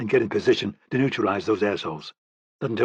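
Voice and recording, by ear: Against a quiet background, a person reads aloud in a natural voice.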